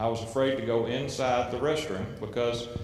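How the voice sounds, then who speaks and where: Over noticeable background noise and audible room echo, a man talks at medium pitch in a monotone, flat intonation at a moderate pace. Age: 50s. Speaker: family court judge. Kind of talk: speech to youth audience. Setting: stage with audience.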